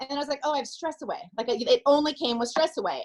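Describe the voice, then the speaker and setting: A woman's animated tone with lively intonation. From California. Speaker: network marketing distributor. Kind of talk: personal testimony on a group call. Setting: video call. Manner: fast.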